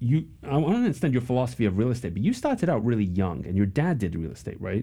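This man talks very fast with vocal fry and a dark, mellow tone. His pitch swings very widely. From England. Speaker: podcast host. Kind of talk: casual interview.

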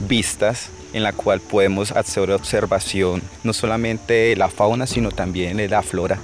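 At a fairly slow pace, a man speaks with a fairly low pitch and fairly even intonation while noticeable background noise runs underneath. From Colombia, Vaupés (Amazon region). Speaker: local tour guide. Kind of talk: casual interview. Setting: outdoors.

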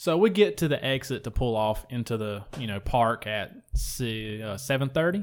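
A man with an ordinary speaking voice uses lively intonation and hardly any pauses. The recording is very clean, with a silent background. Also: medium pitch for a man, moderate pace. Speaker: podcast host. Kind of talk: casual banter.

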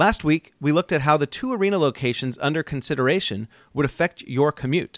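This very clean recording with a silent background and a dry, close sound with no echo has a man with an ordinary speaking voice, a fairly high pitch and lively intonation. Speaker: podcast host. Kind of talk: interview and scripted narration.

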